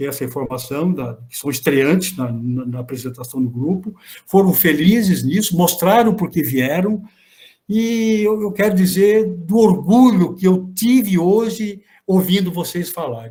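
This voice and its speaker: Pitched high for a man, his voice has a dark, mellow tone and lively intonation as he speaks at a fairly slow pace. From Brazil, Santa Catarina. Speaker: law professor and research group coordinator. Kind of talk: closing remarks in an online academic meeting. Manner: halting, with many repetitions and false starts; warm, animated praise.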